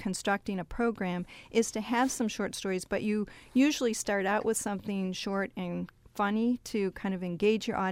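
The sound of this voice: This is an unforced reading voice. Nothing more is marked.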